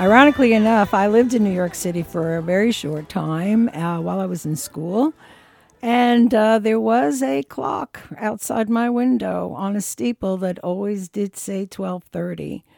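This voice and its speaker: A woman's normal speaking voice, medium in pitch, with lively intonation at a moderate pace, in a dry, close sound with no echo. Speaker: radio host. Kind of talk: radio DJ patter between songs. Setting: radio studio broadcast. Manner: relaxed, chatty, warm; easygoing, with filler 'uh' pauses.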